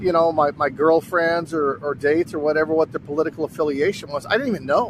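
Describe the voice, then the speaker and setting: With an American accent, the words come at a fairly quick pace. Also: man. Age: 60s. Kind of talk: casual talk to camera. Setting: outdoors.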